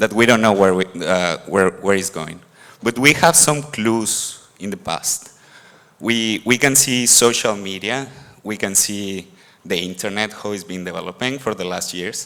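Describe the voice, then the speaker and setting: Speaking with a Mexican accent, a man uses a bright, sharp tone at fairly low pitch, with ordinary pitch variation and a moderate pace. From Mexico. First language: Spanish. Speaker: conference speaker. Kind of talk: conference talk. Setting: stage with audience. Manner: halting, with repetitions.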